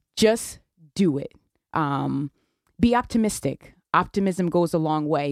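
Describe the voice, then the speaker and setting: A woman's fairly low voice with a Connecticut accent, lively intonation, and a fairly slow pace, the sound dry and close with no echo. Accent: US Northeast (Connecticut). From New Haven, Connecticut. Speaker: police detective. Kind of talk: radio interview.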